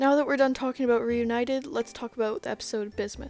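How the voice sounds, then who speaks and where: Very fast and in a monotone, flat intonation, a woman talks with a fairly high pitch. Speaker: youtuber. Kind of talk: video commentary.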